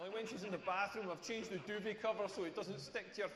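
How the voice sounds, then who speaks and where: Amid noticeable background noise and audible room echo, a man talks at a high pitch in a Scottish accent. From rural Scotland. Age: 40s. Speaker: stand-up comedian. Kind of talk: stand-up. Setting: stage with audience. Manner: animated.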